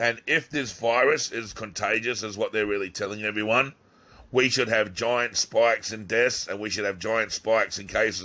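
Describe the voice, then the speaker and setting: This man speaks with an Australian accent. His tone is bright and sharp. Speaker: YouTuber. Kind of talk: video monologue. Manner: animated.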